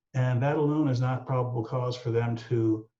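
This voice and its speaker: A man speaks in an American accent at a medium pitch with monotone, flat intonation and a dark, mellow, somewhat breathy tone. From Texas, San Antonio. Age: 60s. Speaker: aviation safety analyst. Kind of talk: explanatory discussion. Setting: video call.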